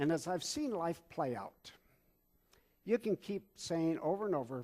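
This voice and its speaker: A man talks at a fairly slow pace. His pitch is high and his intonation lively. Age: 70s. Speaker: pastor. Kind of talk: sermon. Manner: halting.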